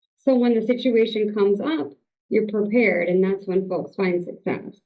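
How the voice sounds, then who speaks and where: In a normal speaking voice, a woman talks at a moderate pace with fairly even intonation. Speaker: family therapy clinic director. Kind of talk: interview.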